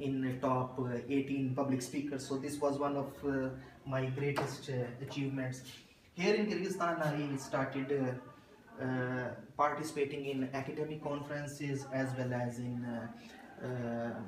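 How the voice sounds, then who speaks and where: Fairly even intonation at a fairly slow pace, amid noticeable background noise and audible room echo. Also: man, fairly high pitch for a man. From Pakistan, Punjab. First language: Urdu and Punjabi. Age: 20s. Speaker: assistant professor. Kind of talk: interview. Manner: hesitant, many fillers.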